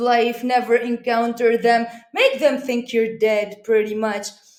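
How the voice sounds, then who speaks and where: A high-pitched woman's voice with a non-native accent. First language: not English. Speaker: comedic vlogger. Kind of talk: casual comedic vlog. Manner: halting, many fillers.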